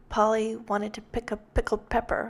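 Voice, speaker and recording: Fairly high in pitch, a woman with vocal fry speaks at a moderate pace in a calm tone. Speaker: card-making tutorial creator. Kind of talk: tutorial. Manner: calm and mellow; hesitant, many fillers. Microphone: new microphone, popping p sounds.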